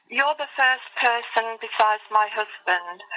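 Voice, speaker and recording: Speaking at a very slow pace, a woman with an English accent has a fairly high pitch with ordinary variation. Her tone is bright and sharp. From England, Lincoln. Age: 60s. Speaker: interviewee sharing fairy encounter. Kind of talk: interview, personal testimony. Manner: halting.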